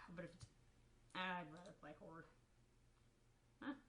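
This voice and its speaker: Woman with a fairly low pitch, talking fairly quickly, audible room echo around her. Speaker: gaming youtuber. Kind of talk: casual solo commentary. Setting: at home in own room. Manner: halting, stumbles over words. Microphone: quiet recording.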